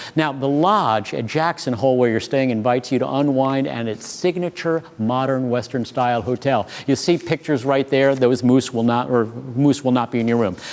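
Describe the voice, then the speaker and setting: The man's speech has hardly any pauses, at a medium pitch with ordinary pitch variation. Noticeable background noise is present. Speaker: auction host. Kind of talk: live auction commentary. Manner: fast; animated.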